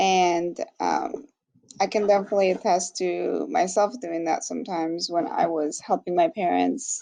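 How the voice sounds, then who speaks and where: A woman with a Spanish accent at a moderate pace. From Mexico. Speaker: graduate student. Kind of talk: class discussion. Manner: hesitant, many fillers.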